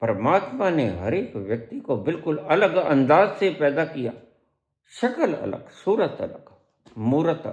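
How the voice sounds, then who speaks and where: A man with a fairly high pitch, very wide pitch swings and vocal fry. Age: 70s. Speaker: spiritual teacher. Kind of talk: satsang discourse. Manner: animated.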